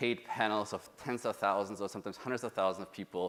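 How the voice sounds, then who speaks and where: A man with a German accent talks at a very fast pace and a fairly low pitch. His tone is bright and sharp, with ordinary pitch variation. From Germany. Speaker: UX researcher. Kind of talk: conference talk.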